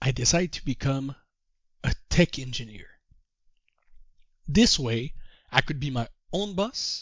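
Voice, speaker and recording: Speaking at a fairly slow pace with long, frequent pauses, a man sounds somewhat breathy, his intonation lively. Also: fairly high pitch for a man. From Quebec. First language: French. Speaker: trader and course teacher. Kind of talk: course introduction talk. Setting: call.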